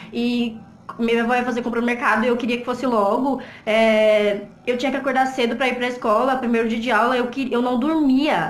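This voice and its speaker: A woman speaks at a high pitch and a fairly quick pace in a monotone, flat intonation, with audible room echo and noticeable background noise. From Brazilian Northeast. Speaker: vlogger. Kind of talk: personal testimony vlog. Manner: breathless.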